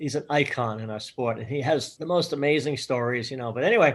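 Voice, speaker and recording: Over a quiet background, a man talks at a fairly quick pace and fairly high pitch with ordinary pitch variation. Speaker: college gymnastics coach. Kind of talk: interview answer. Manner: passionate.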